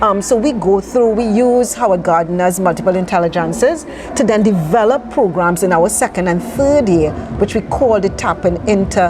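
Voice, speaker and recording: Lively intonation and very even loudness from a woman at medium pitch, moderate pace, with noticeable background noise. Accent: Trinidadian. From Trinidad, East Port of Spain (Laventille). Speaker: charity founder. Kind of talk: interview.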